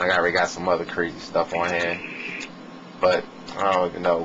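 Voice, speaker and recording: A very deep, low male voice amid noticeable background noise. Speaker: music producer giving a beat-making tutorial. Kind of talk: tutorial. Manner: casual, filler-heavy.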